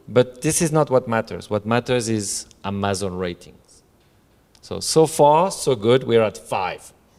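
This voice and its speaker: A man with a non-native accent, lively intonation and a fairly slow pace. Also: medium pitch for a man. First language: not English. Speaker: co-author of a novel. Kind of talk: book presentation talk. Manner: halting, many fillers.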